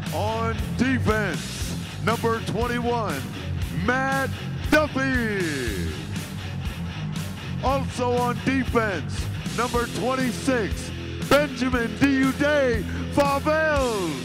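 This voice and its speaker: A man speaking at a very slow pace, with long, frequent pauses and loud music in the background. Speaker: voice-over announcer. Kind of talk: arena starting lineup announcement. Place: stadium. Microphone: handheld.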